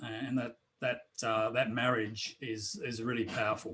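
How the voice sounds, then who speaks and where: A man with an Australian accent. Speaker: drum circle facilitator and author. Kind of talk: interview. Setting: video call. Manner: halting, many fillers. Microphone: too quiet.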